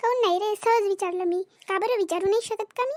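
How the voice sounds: A squeaky, cartoonish character voice at a fairly quick pace, with ordinary pitch variation and a dry, close sound with no echo. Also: woman.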